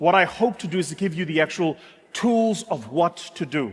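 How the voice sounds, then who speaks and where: Here a man speaks in a South African accent with a high pitch. His intonation is lively and his pace moderate. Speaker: business speaker. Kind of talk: motivational talk.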